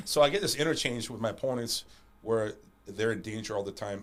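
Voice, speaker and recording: A man is speaking. His pace is very fast. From Panama. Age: 40s. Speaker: martial arts champion and coach. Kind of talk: casual interview chat. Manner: halting, repeats words.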